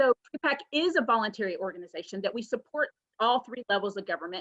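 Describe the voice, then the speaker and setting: Speech comes at a fairly quick pace. Its intonation is lively. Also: woman. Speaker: real estate association political action staffer. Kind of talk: webinar presentation. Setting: video call. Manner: fast; animated.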